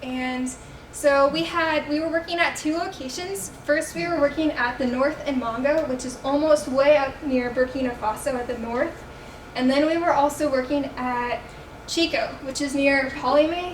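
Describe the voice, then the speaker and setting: A loud woman with a high voice and ordinary pitch variation talks at a moderate pace, with audible room echo and noticeable background noise. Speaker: student missionary presenter. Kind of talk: presentation.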